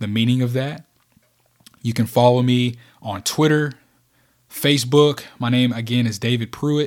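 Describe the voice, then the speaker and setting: A man with fairly even intonation and long, frequent pauses. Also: medium pitch for a man, moderate pace. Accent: Kentucky. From rural Kentucky, US South. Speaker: podcast host, leadership speaker. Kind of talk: solo motivational podcast monologue.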